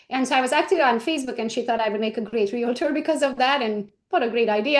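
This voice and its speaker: A woman with a high pitch talks very fast in a Hungarian accent. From Romania (Hungarian minority). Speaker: real estate agent and trainer. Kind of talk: interview.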